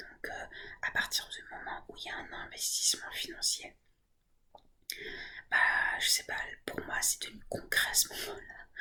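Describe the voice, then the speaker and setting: A woman is whispering at a fairly slow pace. Her loudness swings widely, and she leaves long, frequent pauses. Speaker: ASMR creator. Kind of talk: ASMR soft-spoken talk to camera. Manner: soft-spoken, whispering.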